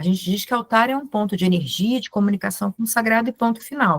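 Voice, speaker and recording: Somewhat breathy, a woman talks at a moderate pace in a dry, close sound with no echo. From Brazil, Ceará; raised in Rio de Janeiro. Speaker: Hellenism practitioner and teacher. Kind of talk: informal online talk to a group. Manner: animated.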